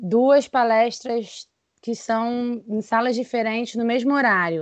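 At a fairly slow pace, a woman uses a normal speaking voice, fairly high in pitch with fairly even intonation. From interior of Rio de Janeiro state, Brazil. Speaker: speech therapist. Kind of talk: casual chat.

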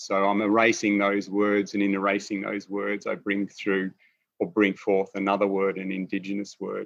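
Speaking in an Australian accent, a man keeps a fairly low pitch and a monotone, flat intonation. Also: moderate pace. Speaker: installation artist. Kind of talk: artist talk over video call. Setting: video call, in his studio.

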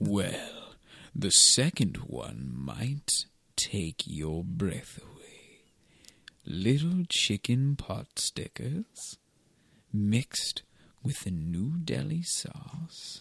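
A man at medium pitch speaks at a very slow pace with long, frequent pauses and very wide pitch swings, the sound dry and close with no echo. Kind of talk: comic overacting. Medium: comedy sketch. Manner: grandiose, theatrical, teasing.

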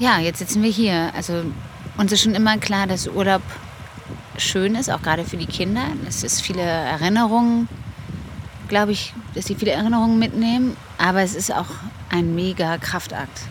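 The speech moves at a moderate pace with long, frequent pauses, audible room echo and noticeable background noise. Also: woman, medium pitch for a woman, ordinary pitch variation. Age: 30s. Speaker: podcast co-host, mother of ten. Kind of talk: casual chat. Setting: on holiday on a Danish island.

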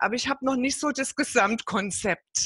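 Against a quiet background, a bright, sharp tone comes through at a fairly slow pace with a dry, close sound and no echo. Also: woman. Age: 50s. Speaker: network marketing entrepreneur. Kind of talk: interview.

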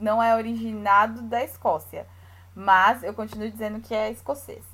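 Speaking fairly slowly in a São Paulo accent, a woman uses a fairly high pitch and fairly even intonation. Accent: São Paulo (paulista). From Brazil, São Paulo city. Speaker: podcast co-host, Brazilian expat. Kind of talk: casual chat.

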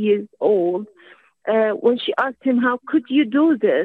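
A woman speaks with an Arabic accent. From Syria. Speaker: academic. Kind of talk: radio call-in comment.

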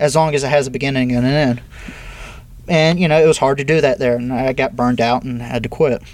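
A man speaks at a very fast pace with a medium pitch. His intonation is fairly even, over noticeable background noise. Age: 30s. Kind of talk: interview.

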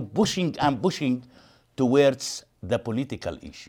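In a very clean recording with a silent background, a man speaks at a moderate pace. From East Jerusalem, Palestinian. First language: Arabic. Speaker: human rights activist. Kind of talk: lecture. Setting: stage with audience.

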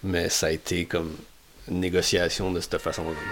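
A man with a very deep, low voice speaks at a moderate pace over music in the background. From Matapédia valley, Gaspésie, Quebec. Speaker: biologist. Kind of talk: casual interview chat.

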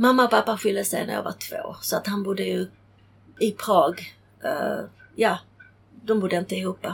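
A woman with a Czech accent talks at a moderate pace, leaving long, frequent pauses. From Czechoslovakia, then Sweden from age ten. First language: Czech (speaking Swedish). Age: 50s. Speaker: interviewee sharing life story. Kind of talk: casual interview, life story. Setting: on a boat in a marina.

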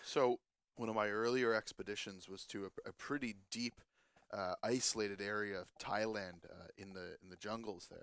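A man talks at a moderate pace in an ordinary speaking voice, fairly low in pitch. His intonation stays fairly even while his loudness swings a lot. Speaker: guest on a comedy news show. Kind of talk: comedic banter, mock ad read. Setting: studio.

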